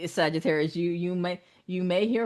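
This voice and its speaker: An animated woman with an American accent at a moderate pace, ordinary pitch variation and a quiet background. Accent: Southern US, occasionally slips out. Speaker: tarot reader. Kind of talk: live-streamed tarot reading. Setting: live stream.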